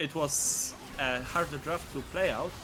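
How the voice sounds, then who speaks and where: With a non-native accent, a man speaks in a fairly high voice. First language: not English. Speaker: esports caster. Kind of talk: live commentary. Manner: animated.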